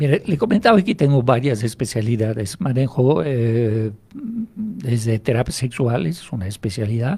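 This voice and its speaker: A somewhat breathy, dark and mellow tone at a moderate pace. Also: man. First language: French (speaking Spanish). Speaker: hypnotherapist. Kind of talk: radio interview.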